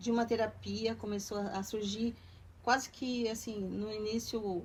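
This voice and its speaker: A woman's somewhat breathy voice moves at a fairly slow pace, with fairly even intonation at a medium pitch. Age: 60s. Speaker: retired artisan. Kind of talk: documentary interview.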